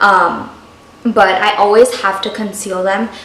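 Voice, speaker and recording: Intonation stays monotone and flat. Noticeable background noise and audible room echo are present. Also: woman. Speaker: lifestyle vlogger, stay-at-home mom. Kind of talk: casual vlog tutorial.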